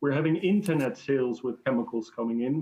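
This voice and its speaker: With a Dutch accent, a man talks at a moderate pace, his fairly high pitch showing ordinary variation. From Netherlands. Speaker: industry association director. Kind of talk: online panel debate. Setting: video call.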